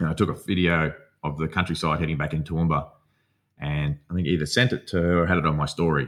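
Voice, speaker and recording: A man with a strong Australian accent speaks very fast in a very deep, low voice with fairly even intonation, in a very clean recording with a silent background. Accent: broad Australian. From outback Australia. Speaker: psychotherapy student and former fighter. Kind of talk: casual interview conversation.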